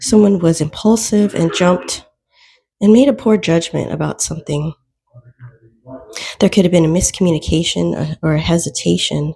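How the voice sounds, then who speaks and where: A woman speaks with a dark, mellow tone at a fairly low pitch. Her somewhat breathy voice moves at a moderate pace with lively intonation. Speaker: tarot reader. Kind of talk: tarot reading for viewers. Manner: casual, conversational.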